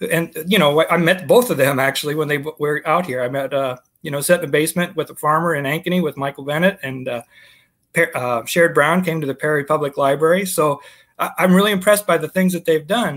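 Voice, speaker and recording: Against a quiet background, a man with an American accent talks at a very fast pace, his fairly high pitch showing ordinary pitch variation. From US Midwest. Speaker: former state house candidate; candidate. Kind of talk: political interview. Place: home room.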